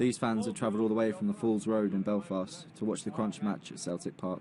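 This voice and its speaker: A man's medium-pitched voice with an English accent, lively intonation and a fairly quick pace. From England. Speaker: documentary journalist. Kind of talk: documentary narration.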